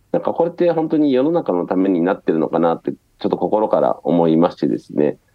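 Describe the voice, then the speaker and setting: Talking at a very fast pace, a man with a fairly low pitch swings very widely up and down. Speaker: startup founder. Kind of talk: interview. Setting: remote call from Osaka.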